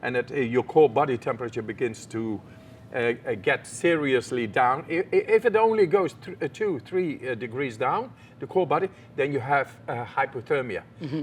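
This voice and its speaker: Speaking at a moderate pace, the voice carries a Dutch accent. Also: man. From Netherlands. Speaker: extreme athlete. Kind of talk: interview answer.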